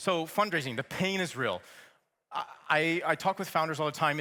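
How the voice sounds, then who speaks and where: Fairly high in pitch, this man has an ordinary speaking voice with an American accent. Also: very clean recording, silent background. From United States. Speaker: startup program director, keynote speaker. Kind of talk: keynote talk. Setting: stage with audience. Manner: casual, upbeat with filler words.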